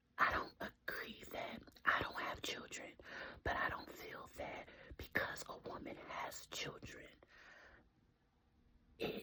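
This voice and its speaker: Whispering, a woman speaks at a very slow pace. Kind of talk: casual whispered ramble to camera. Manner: whispered.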